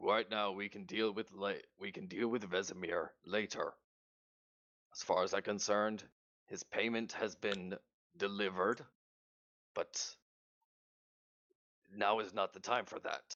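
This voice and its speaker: In a raspy, put-on character voice, the speaker moves at a moderate pace with long, frequent pauses. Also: man, fairly low pitch for a man. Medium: game stream. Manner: firm, formal.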